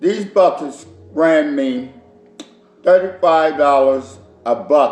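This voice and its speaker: With music in the background, a man at a fairly high pitch speaks with ordinary pitch variation. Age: 60s. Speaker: home cook and caterer. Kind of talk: cooking tutorial. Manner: casual, repetitive.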